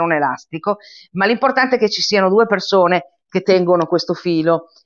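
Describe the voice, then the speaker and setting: Using an unremarkable speaking voice, the woman shows ordinary pitch variation. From Italy. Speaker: member of a cultural association. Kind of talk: casual interview chat.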